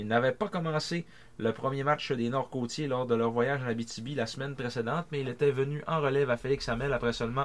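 A man speaks at a medium pitch and a fairly quick pace in an ordinary speaking voice. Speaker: sports podcast co-host. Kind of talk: reading aloud; casual chat.

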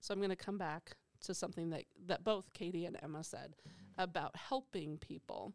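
A woman's fairly low voice at a fairly quick pace, ordinary pitch variation, an ordinary speaking voice. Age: 50s. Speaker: psychology professor and podcast host. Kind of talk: casual panel discussion.

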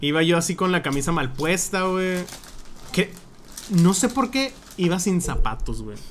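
Pausing long and often, a man with a high pitch talks at a fairly slow pace with lively intonation. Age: 20s. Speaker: podcast guest. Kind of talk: casual chat.

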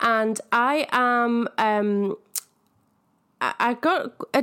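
A woman speaks in an enthusiastic tone. The recording is very clean, with a silent background. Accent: Manchester. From northern England. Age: 30s. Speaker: podcast host, spiritual coach. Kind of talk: casual solo podcast monologue.

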